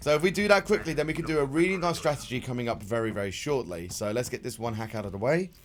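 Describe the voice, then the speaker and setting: A man talks at a very fast pace with hardly any pauses. His medium pitch swings very widely. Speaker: streamer. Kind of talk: live gameplay commentary. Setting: live stream. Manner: loud.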